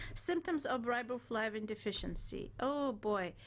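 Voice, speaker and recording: With an ordinary speaking voice, a woman speaks at a fairly slow pace, her fairly high pitch carrying lively intonation. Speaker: wellness show co-host. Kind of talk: reading aloud. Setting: radio studio.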